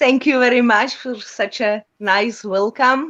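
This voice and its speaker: A woman's high-pitched voice. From Czech Republic. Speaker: musician. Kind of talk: interview.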